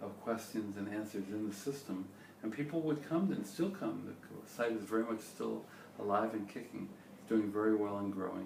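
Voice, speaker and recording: A man speaks at a moderate pace in a fairly low pitch with ordinary pitch variation. Audible room echo and noticeable background noise are present. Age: 60s. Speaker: startup founder and CEO. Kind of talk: interview.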